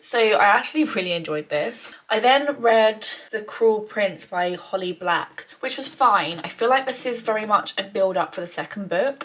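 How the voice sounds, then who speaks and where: With an English accent, a woman of medium pitch speaks at a moderate pace with ordinary pitch variation and hardly any pauses over noticeable background noise. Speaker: lifestyle vlogger. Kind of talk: casual vlog. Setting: holiday cottage.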